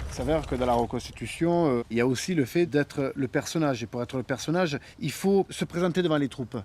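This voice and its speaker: A man at a fairly high pitch and fairly quick pace, in a very clean recording with a silent background and a dry, close sound with no echo. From Sicily. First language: Italian (Sicilian) (speaking French). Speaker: historical reenactor. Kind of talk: documentary interview. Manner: hesitant, many fillers.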